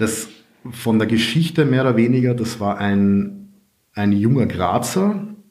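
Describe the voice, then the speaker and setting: A man at a very slow pace with a slight Carinthian accent and audible room echo. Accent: little Carinthian accent audible. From Austria, Carinthia. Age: 30s. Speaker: IT consultant and property investor. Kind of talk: interview.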